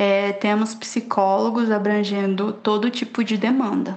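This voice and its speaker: Music plays in the background as a woman speaks very slowly. Her voice is fairly high, and her intonation is fairly even. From Poconé, Mato Grosso, Brazil. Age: 20s. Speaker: psychologist. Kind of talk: podcast interview.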